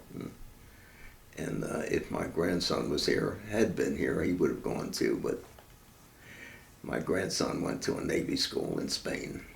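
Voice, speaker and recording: Amid audible room echo, a man speaks at a fairly slow pace with long, frequent pauses. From Baltimore, Maryland. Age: 90s. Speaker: war veteran. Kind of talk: oral history interview.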